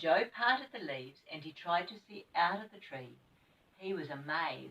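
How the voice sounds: Fairly slow delivery with lively intonation and a fairly bright tone. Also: woman.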